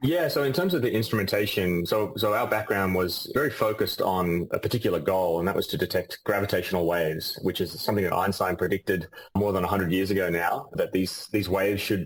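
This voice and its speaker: A man with an Australian accent talks at a very fast pace with hardly any pauses. His fairly low voice has ordinary pitch variation and very even loudness. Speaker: physicist and company CEO. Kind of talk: interview.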